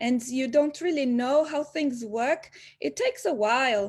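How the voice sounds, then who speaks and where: A woman with a high voice speaks at a fairly slow pace. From Brazil, Bahia (northeast). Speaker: graphic designer and business owner. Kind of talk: interview. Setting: webinar video call.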